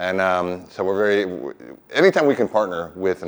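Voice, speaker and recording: The man's pitch is very deep and low. He talks at a fairly quick pace. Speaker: hotel general manager. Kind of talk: welcome speech. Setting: stage with audience. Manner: hesitant, many fillers.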